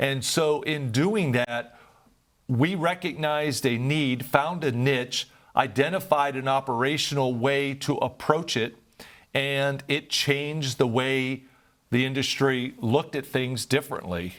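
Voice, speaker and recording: The speaker uses a plain, everyday voice with an American accent and ordinary pitch variation. The pace is fairly slow. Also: man, fairly high pitch for a man. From Northeast Ohio. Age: 60s. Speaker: nonprofit founder and former business executive. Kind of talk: interview.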